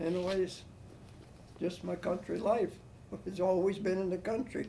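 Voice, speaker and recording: With a US Midwestern accent, a man speaks at a high pitch in a dark, mellow tone. His intonation is monotone and flat, his pace moderate. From Ohio, Medina. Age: 80s+. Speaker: war veteran. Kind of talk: oral history interview. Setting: at home. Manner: halting.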